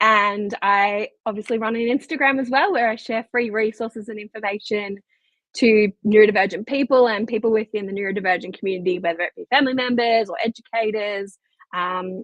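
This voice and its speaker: Her pitch fairly high, a woman speaks at a fairly quick pace with ordinary pitch variation. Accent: Australian. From Australia. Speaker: occupational therapist. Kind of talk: podcast interview. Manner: hesitant, with filler words.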